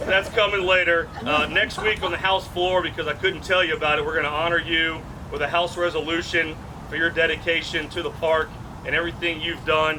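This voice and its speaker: Fairly quick, monotone, flat speech in an American accent over noticeable background noise. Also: man, high pitch for a man. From Baton Rouge, Louisiana. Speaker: state representative. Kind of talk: dedication ceremony speech.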